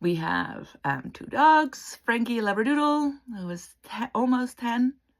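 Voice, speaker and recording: A woman with a Dutch accent and a fairly high pitch, at a fairly slow pace, with very wide pitch swings and big swings in loudness, in a very clean recording with a silent background. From Netherlands. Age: 40s. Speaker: interior designer and counsellor. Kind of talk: casual vlog introduction.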